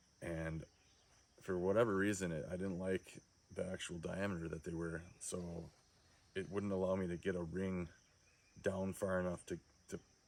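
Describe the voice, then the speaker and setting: Talking at a moderate pace with long, frequent pauses, a man uses a very deep, low voice and monotone, flat intonation. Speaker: DIY hunter and backpacker. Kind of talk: tutorial. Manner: hesitant, with filler words.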